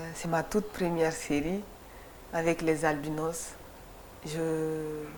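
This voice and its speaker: A woman speaks very slowly in a monotone, flat delivery at a fairly low pitch. Room echo is audible. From Mali (Kati, near Bamako). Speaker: photographer. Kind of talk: TV interview. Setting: TV studio. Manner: halting, many repetitions.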